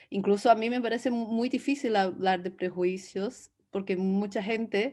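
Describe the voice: The delivery moves at a moderate pace, with a slightly mellow tone and fairly even intonation. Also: woman.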